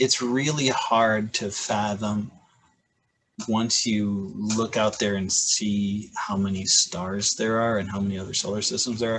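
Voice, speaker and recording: Speaking at a very slow pace with an American accent, a man uses a fairly low pitch and fairly even intonation. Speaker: high school physics teacher. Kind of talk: casual chat.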